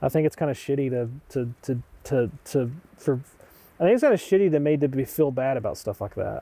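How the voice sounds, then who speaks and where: A man's fairly high, dark and mellow voice in a Southern Appalachian accent, fairly quick in pace, with ordinary pitch variation. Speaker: documentary interviewee. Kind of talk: documentary interview.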